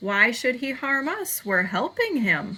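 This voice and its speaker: In a put-on character voice, a woman speaks at a fairly slow pace and a high pitch. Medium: read story.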